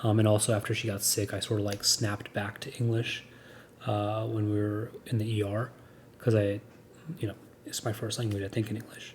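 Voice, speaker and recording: A man speaks fairly quickly, yet with long, frequent pauses. His voice is somewhat breathy and his intonation monotone and flat. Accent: American. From United States. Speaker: podcast co-host. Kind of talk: casual chat. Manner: halting, many repeated words and fillers.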